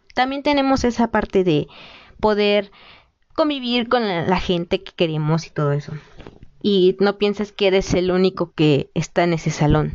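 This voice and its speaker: Using an unremarkable speaking voice, a woman talks fairly slowly at a medium pitch with lively intonation. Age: 20s. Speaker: pedagogy student, podcast host. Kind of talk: solo educational talk.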